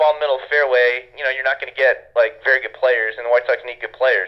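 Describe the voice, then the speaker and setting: A man talks at a very fast pace. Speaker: baseball draft analyst. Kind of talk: casual interview. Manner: halting, many fillers.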